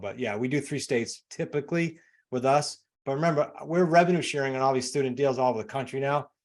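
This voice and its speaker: Over a quiet background, a man with a New England accent talks at a very fast pace and medium pitch with ordinary pitch variation. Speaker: real estate investor and coach. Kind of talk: interview. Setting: podcast.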